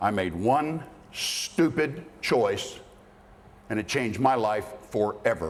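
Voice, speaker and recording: Speaking at a very slow pace with long, frequent pauses, a man uses lively intonation at a medium pitch. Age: 60s. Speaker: motivational speaker. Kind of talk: speech to students. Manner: blunt, forceful.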